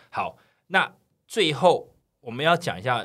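A man talks with vocal fry. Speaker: podcast co-host. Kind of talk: casual chat. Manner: animated, laughs often.

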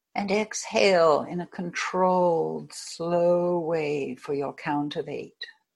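Very slow, with hardly any pauses, a woman speaks in an American accent. Her pitch is fairly low, with ordinary pitch variation. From United States. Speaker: hypnotherapist. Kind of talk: guided hypnosis session, guided meditation. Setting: video call.

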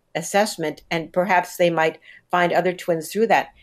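A woman with an ordinary speaking voice talks at a fairly quick pace, her pitch fairly low with ordinary variation, on a very clean recording with a silent background. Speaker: psychologist. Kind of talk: interview.

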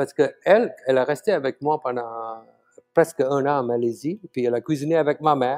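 The recording is dry and close, with no echo. A man speaks at a moderate pace in a fairly high pitch. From Malaysia. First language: Tamil (speaking French). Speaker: chef. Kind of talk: interview. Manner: halting.

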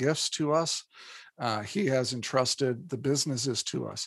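This man has an ordinary speaking voice and an American accent, with medium pitch and ordinary pitch variation. He speaks at a moderate pace. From Indiana, US Midwest. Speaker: psychologist and business author. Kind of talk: interview.

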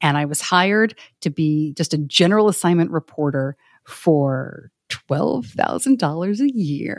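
The speaker has an American accent and a fairly slow pace. The intonation is lively. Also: woman, very deep, low pitch for a woman. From New York. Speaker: podcaster and former TV journalist. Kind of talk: casual interview chat.

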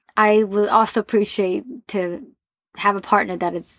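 A woman speaks in a plain, everyday voice at a moderate pace, with ordinary pitch variation. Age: 30s. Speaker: recruiter. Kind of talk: casual chat.

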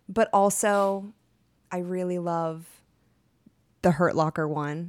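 An American-accented woman speaks very slowly, with fairly low pitch, fairly even intonation and long, frequent pauses. Her loudness swings widely in a very clean recording with a silent background. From Texas. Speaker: actor. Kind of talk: casual chat.

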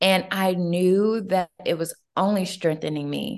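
This is an ordinary speaking voice with an American accent. The pace is moderate, with ordinary pitch variation. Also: woman, quiet background. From US South, Atlanta, Georgia. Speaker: entrepreneur and life coach. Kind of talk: interview.

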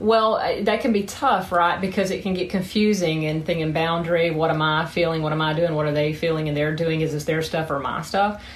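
Noticeable background noise behind a woman in a Southern US accent, fairly low-pitched with ordinary pitch variation, at a fairly quick pace. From South Georgia, US. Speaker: sex therapist and psychotherapist. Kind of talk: casual interview answers.

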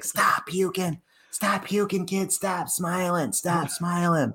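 A put-on character voice in a Boston accent speaks at a middle pitch and a fairly slow pace. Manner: shouting, gruff.

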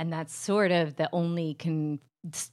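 A woman with a New Jersey accent speaks at a moderate pace. Her pitch is very deep and low, her intonation fairly even. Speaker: comedian. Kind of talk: casual chat.

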